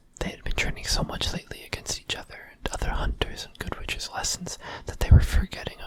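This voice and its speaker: Over noticeable background noise, the whispering moves at a fairly quick pace. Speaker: ASMR creator. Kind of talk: ASMR fanfiction reading. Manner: soft, relaxed ASMR narration.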